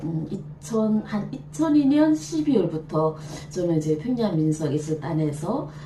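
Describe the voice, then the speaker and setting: A woman's fairly low voice at a fairly slow pace, with ordinary pitch variation over noticeable background noise. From North Korea, Jagang Province. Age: 50s. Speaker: folk dancer, troupe director. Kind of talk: interview answer.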